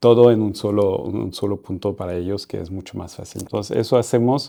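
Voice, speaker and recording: A man with a dark, mellow tone speaks at a fairly quick pace against a quiet background. His pitch is fairly low with ordinary variation, and his loudness shifts in big swings. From France. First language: French (speaking Spanish). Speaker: startup founder and CEO. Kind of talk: interview conversation. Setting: in person, Paris. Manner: halting.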